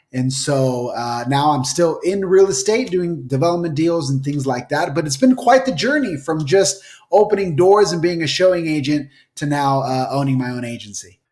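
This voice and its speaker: In a plain, everyday voice, a man with an American accent speaks at a moderate pace, his fairly high pitch rising and falling with lively intonation. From Utah. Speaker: real estate broker. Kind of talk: interview.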